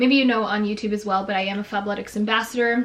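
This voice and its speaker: A woman with a Canadian accent at a very fast pace, her fairly high voice held to fairly even intonation, with noticeable background noise. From Canada (Toronto). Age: 20s. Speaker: beauty and lifestyle YouTuber. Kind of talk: casual Q&A chat. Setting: bedroom.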